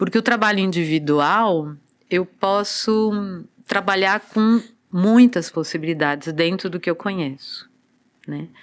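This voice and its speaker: On a very clean recording with a silent background, a woman of medium pitch talks at a fairly slow pace in an unremarkable speaking voice with ordinary pitch variation. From Brazil, São Paulo coast (Santos region). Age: 60s. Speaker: dancer and body therapist. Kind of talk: podcast interview.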